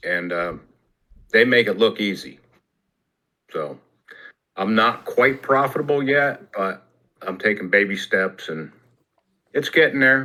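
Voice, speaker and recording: At a fairly slow pace, a man with medium pitch speaks with lively intonation and long, frequent pauses. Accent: American. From New Jersey. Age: 60s. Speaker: retired telecom worker, trading student. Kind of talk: casual group video chat.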